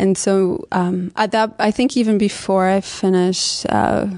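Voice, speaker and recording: Speaking in a Canadian accent, a woman has a medium pitch and a dark, mellow tone. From London, Ontario, Canada. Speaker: dancer and choreographer. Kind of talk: interview.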